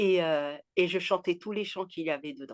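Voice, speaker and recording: Ordinary pitch variation at a moderate pace against a quiet background. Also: woman. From Haiti. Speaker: author. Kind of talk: interview answer.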